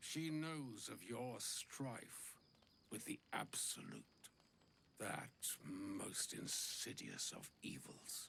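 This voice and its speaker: A man's put-on character voice at a very slow pace, with long, frequent pauses and clear background noise. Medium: video game. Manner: ornate, flowery speech.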